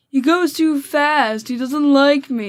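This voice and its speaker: A put-on, whiny character voice from a woman, high in pitch and fairly slow, on a very clean recording with a silent background. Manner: complaining.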